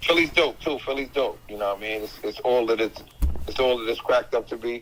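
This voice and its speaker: Talking at a fairly quick pace, a man with a New York accent keeps a medium pitch and ordinary pitch variation. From Staten Island, New York. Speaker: rapper. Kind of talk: casual interview.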